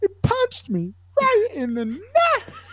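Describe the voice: The put-on character voice is squeaky and extremely high in pitch, delivered at a fairly slow pace.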